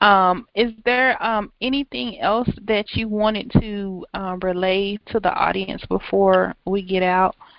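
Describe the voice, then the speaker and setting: A woman talks at a very slow pace and a medium pitch. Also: ordinary pitch variation. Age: 40s. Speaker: podcast host and writing coach. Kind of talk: interview. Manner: halting, frequent um fillers.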